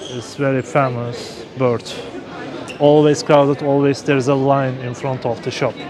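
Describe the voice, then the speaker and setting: Against noticeable background noise, a man talks at a moderate pace in a monotone with flat intonation. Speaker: travel vlogger. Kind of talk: live-streamed walking tour. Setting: outdoors. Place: street. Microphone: phone near.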